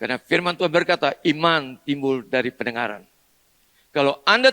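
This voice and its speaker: The speaker is a man with a bright, sharp tone. His intonation is lively. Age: 70s. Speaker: pastor. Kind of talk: sermon. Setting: church.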